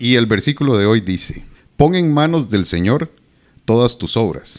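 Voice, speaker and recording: This man's voice sits at a medium pitch. His pitch swings very widely. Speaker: podcast host. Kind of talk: podcast intro.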